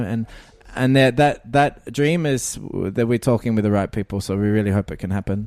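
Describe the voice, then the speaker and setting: A man with an Australian accent talks at a fairly quick pace in a dark, mellow tone. The recording is very clean, with a silent background. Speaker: music producer and keyboard player. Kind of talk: interview. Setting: music festival.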